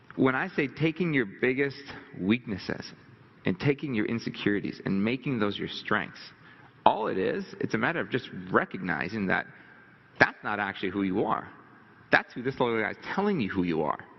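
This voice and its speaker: Over noticeable background noise, a man talks at a fairly quick pace in an animated tone with lively intonation, broken by long, frequent pauses. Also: medium pitch for a man. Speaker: motivational speaker. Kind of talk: seminar talk. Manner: fast.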